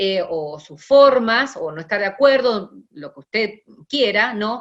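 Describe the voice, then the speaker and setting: A woman speaks fairly slowly with a fairly high pitch. Her intonation is lively, and her loudness swings widely. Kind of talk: lecture. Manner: hesitant fillers.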